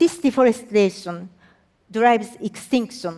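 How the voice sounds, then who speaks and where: Speaking very slowly with a Japanese accent, a woman uses lively intonation at a fairly high pitch. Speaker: environmental agency executive. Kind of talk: public talk.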